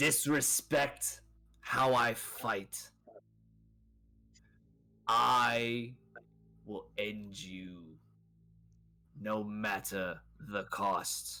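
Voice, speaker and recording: At a very slow pace with long, frequent pauses, the speaker uses a put-on character voice and ordinary pitch variation. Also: man, medium pitch for a man. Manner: different from how he talked before; menacing.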